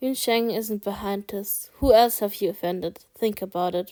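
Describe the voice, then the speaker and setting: A woman puts on a strained character voice at a medium pitch, speaking at a moderate pace. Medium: read story. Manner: heavy, restrained.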